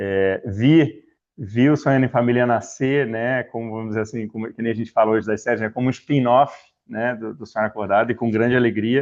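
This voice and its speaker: A man with a Rio de Janeiro accent talks fairly quickly at a medium pitch, keeping his intonation fairly even. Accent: carioca. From Rio de Janeiro, Brazil (Niterói). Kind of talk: talk to a religious formation group. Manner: casual, hesitant with fillers.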